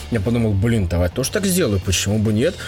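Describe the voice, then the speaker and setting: With music in the background, a man speaks at a fairly quick pace and medium pitch, his intonation lively. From Russia. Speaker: gaming podcast co-host. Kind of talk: casual chat. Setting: remote recording, not in one room.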